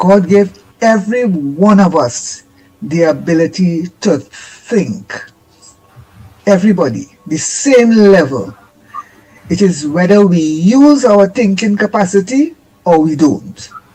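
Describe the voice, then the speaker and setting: Very slow speech with long, frequent pauses and music in the background. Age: 70s. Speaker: caller. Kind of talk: call-in opinion.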